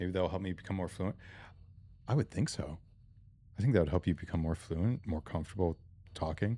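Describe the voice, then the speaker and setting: Mumbling at a fairly quick pace, a man speaks in a very deep, low pitch with a dark, mellow tone and ordinary pitch variation, broken by long, frequent pauses. The recording is very clean, with a silent background. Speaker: gaming streamer. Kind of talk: live gameplay stream chat.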